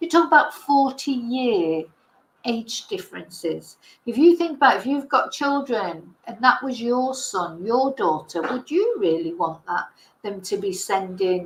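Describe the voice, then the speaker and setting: Speaking with an English accent at a fairly slow pace, a woman uses a high pitch that swings very widely. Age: 60s. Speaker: online commentator. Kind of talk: casual livestream chat. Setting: livestream.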